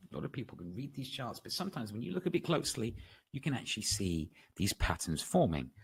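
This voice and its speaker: A man talks at a very fast pace in a West Country accent. His voice is somewhat breathy, with lively intonation. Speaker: trading educator. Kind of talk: webinar lecture. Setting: online webinar.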